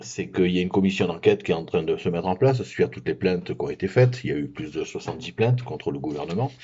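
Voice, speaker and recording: This man's intonation is lively. His words come at a very fast pace. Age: 60s. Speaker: activist vlogger. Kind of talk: political commentary monologue. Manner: hesitant, many fillers.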